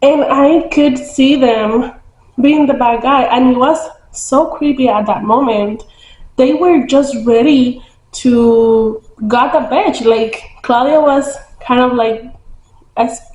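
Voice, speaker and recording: A woman speaks in a high voice with a non-native accent at a very slow pace, her loudness very even, her pitch variation ordinary, with long, frequent pauses and audible room echo. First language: not English. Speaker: book vlogger. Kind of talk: casual book review vlog. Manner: casual, hesitant with many fillers.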